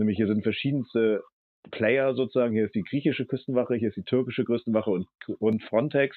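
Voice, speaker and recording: This man's delivery is very rapid, though his pitch stays fairly level throughout. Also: medium pitch for a man. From Hamburg, northern Germany. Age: 40s. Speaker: ship captain and refugee aid activist. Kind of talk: interview.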